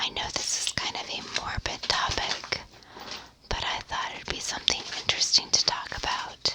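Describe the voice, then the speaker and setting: A woman whispers at a moderate pace with an American accent. Noticeable background noise runs behind her. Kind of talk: ASMR sleep history narration. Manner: whispered.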